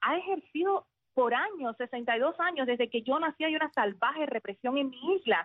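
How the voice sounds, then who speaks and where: This is a woman's voice. Her pitch is high. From central Cuba, Sagua la Grande. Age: 40s. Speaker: former radio announcer, now teacher. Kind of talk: interview.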